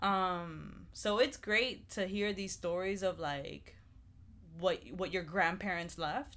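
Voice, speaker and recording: A woman of medium pitch speaks at a very slow pace with vocal fry and ordinary pitch variation. The recording is very clean, with a silent background. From Cuba (rural town). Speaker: podcast co-host. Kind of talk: casual chat.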